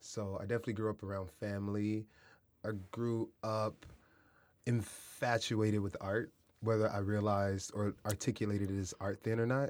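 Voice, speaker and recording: With an American accent, a man speaks in a fairly low pitch and monotone, flat intonation on a very clean recording with a silent background. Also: moderate pace. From US Midwest, Kansas City, Missouri; teen years in San Diego. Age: 30s. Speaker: artist and educator. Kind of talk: casual interview. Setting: studio.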